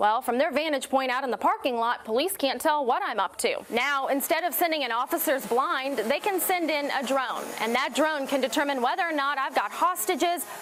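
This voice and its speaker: Over noticeable background noise, a woman talks at a fairly quick pace with hardly any pauses. Her high voice holds very even loudness and ordinary pitch variation. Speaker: TV news anchor and reporter. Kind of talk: local TV morning news anchor read.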